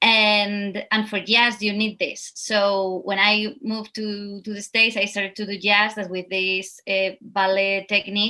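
A woman's bright, sharp voice at medium pitch, with a Spanish accent, monotone, flat intonation, a fairly slow pace and hardly any pauses, on a very clean recording with a silent background. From Spain. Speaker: dancer and actor. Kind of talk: interview.

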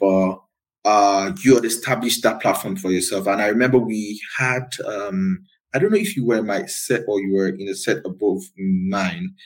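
A man in a Nigerian accent, fairly low pitched, at a moderate pace with ordinary pitch variation. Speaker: podcast host. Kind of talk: casual interview.

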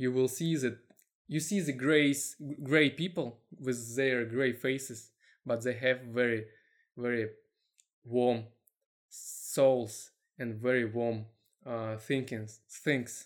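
A man's very slow, medium-pitched speech with a Russian accent, fairly even intonation, and long, frequent pauses. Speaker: web marketer. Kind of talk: casual chat. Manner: halting.

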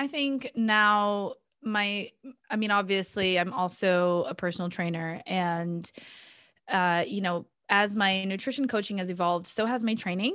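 A woman's bright, sharp voice in an American accent, fairly slow with ordinary pitch variation, on a very clean recording with a silent background. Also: medium pitch for a woman. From Boston, US (childhood) and Brazil (teens). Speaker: nutrition coach. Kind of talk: casual interview.

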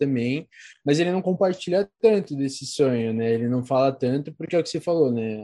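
His tone dark and mellow, a man speaks at a fairly high pitch. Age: 20s. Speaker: psychology student and podcaster. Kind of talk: casual chat.

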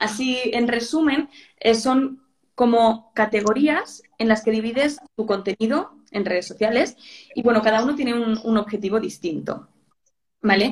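Breathy to some degree, a woman with a Spanish accent talks at a fairly slow pace and a fairly high pitch. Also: ordinary pitch variation. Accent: Peninsular Spanish. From Spain. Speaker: social media manager. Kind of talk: interview on a live stream.

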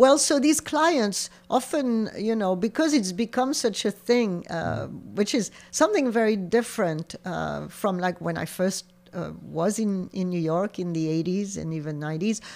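A woman speaks at a fairly slow pace with a French accent. Her pitch sits in the medium range. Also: lively intonation. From southern France, near Montpellier. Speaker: shop owner. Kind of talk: interview.

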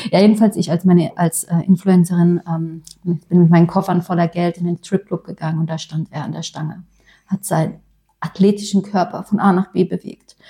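A woman's somewhat breathy voice with a dark, mellow tone, fairly low pitch and monotone, flat intonation at a fairly quick pace, in a dry, close sound with no echo. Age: 30s. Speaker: podcast co-host, influencer. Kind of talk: casual chat.

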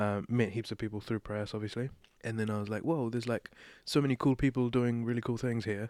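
A man with a New Zealand accent talks at a very fast pace and a medium pitch. The recording is very clean, with a silent background and a dry, close sound with no echo. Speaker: playwright and director. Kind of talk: interview conversation.

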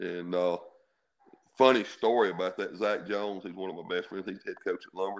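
A man with a very deep, low voice and a Mississippi accent, at a fairly quick pace. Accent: Southern US (Mississippi). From US South (Mississippi). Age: 50s. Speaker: high school football coach. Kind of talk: interview.

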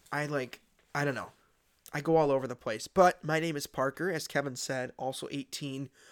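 In an ordinary speaking voice, a man talks at a fairly high pitch and moderate pace with fairly even intonation, the sound dry and close with no echo on a very clean recording with a silent background. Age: young. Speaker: podcast host, recent high school graduate. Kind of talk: casual chat. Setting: makeshift home studio. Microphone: new microphone.

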